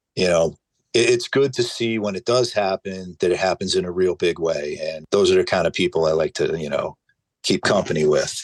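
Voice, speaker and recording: A man with a New Jersey accent, in a dry, close sound with no echo. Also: moderate pace. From northern New Jersey. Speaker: hot sauce maker. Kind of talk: casual chat.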